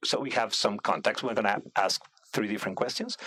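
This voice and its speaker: With noticeable background noise behind him, a man in a Spanish accent talks at a fairly quick pace, his pitch swinging very widely. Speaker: radio host. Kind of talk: casual interview. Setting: studio.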